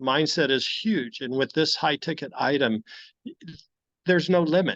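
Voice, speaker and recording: A man with a normal speaking voice and ordinary pitch variation is heard in a dry, close sound with no echo over a quiet background. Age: 60s. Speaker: cancer patient sharing testimony. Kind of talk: testimony.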